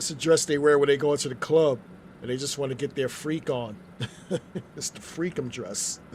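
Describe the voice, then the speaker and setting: A man with an American accent and fairly high pitch talks at a moderate pace with ordinary pitch variation, big swings in loudness and long, frequent pauses over noticeable background noise. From US Northeast, New York City. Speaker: gaming streamer. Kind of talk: live gameplay commentary. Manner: casual, conversational.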